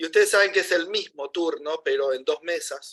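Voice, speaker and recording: The speaker has a Rosario accent. The sound is dry and close, without echo. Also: man. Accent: Rosario Argentine Spanish. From Rosario, Argentina. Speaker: university lecturer. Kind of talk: class announcements.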